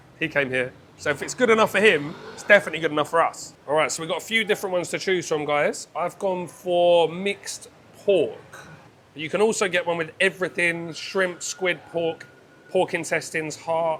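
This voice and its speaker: With a British accent, the speaker moves at a moderate pace with ordinary pitch variation. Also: man. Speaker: food vlogger. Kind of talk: travel food vlog commentary. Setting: quiet restaurant. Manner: quiet; animated.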